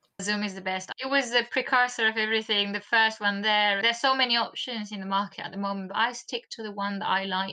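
A woman talks at a very fast pace with hardly any pauses. Her fairly high voice has a bright, sharp tone and fairly even intonation. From Argentina. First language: Spanish. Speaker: marketing course creator. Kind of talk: casual interview. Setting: video call.

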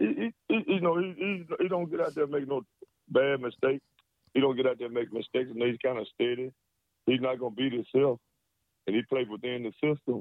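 Talking at a fairly quick pace with long, frequent pauses, a man speaks at medium pitch with ordinary pitch variation. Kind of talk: sports rant. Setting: phone call. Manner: casual, repeats words, cusses.

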